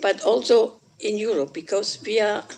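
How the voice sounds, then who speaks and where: This woman talks fairly slowly. She has a German accent. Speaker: politician. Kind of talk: conference speech. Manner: halting.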